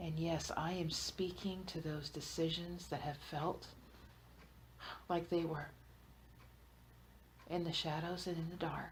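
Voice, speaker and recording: Somewhat breathy and soothing in tone, the voice moves at a fairly slow pace in a flat monotone, broken by long, frequent pauses. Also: woman, fairly low pitch for a woman. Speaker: hypnotherapist. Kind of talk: group hypnosis trance session. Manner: slow, soothing.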